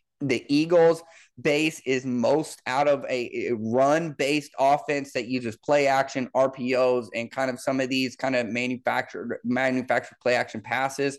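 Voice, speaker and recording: A man speaks at a moderate pace in a plain, everyday voice with an American accent, medium pitch and fairly even intonation. He barely pauses, and the background is quiet. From Missouri, Kansas City area. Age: 30s. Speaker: football coach and podcast host. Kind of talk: solo sports analysis podcast.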